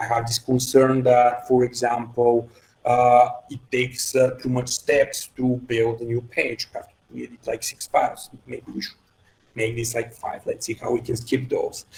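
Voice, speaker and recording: A man speaks with a Bulgarian accent at a moderate pace. His loudness swings widely. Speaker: head of engineering. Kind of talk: podcast interview. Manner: halting, many fillers.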